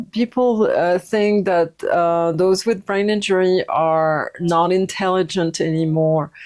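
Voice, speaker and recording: In a French accent, this voice talks at a very slow pace with very even loudness and fairly even intonation. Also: woman, medium pitch for a woman. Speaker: yoga teacher and recovery coach. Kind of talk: personal testimony. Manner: halting, many fillers.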